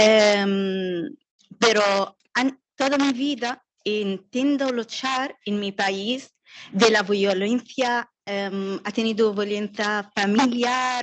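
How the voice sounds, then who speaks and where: A woman speaks very slowly, keeping a fairly high pitch and fairly even intonation. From Yemen. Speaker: refugee, audience member. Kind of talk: audience comment. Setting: video conference. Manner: halting, learner Spanish.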